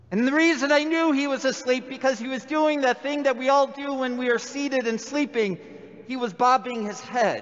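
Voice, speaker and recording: With an American accent, a man talks at a moderate pace in an extremely high pitch while background noise is noticeable. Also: fairly even intonation. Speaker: priest. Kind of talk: sermon.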